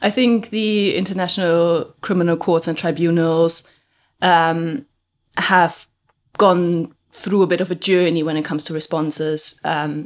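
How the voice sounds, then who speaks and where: In a very clean recording with a silent background, a woman with a fairly low pitch and a non-native accent speaks with fairly even intonation. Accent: non-native English speaker. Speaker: legal researcher. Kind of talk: academic interview.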